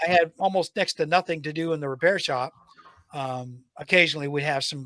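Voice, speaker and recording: In a normal speaking voice, a man talks at a fairly quick pace with a fairly high pitch and fairly even intonation, the sound dry and close with no echo. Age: 60s. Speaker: retired IT technician and trainer, podcast guest. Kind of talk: casual chat.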